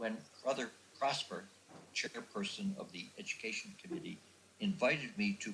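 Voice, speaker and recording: A man with an American accent speaks at a moderate pace with very wide pitch swings, and audible room echo surrounds his voice. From United States. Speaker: religious brother and educator. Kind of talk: lecture.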